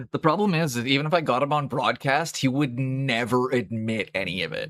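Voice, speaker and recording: An ordinary speaking voice from a man with a Canadian accent, medium pitch, lively intonation and a moderate pace. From Canada. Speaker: miniature painting streamer. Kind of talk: casual live-stream chat. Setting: live stream. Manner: casual, rambling with fillers.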